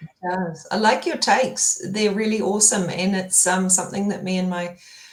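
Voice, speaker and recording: Woman's medium-pitched voice with fairly even intonation at a moderate pace, amid noticeable background noise. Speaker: tech founder. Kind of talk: interview conversation.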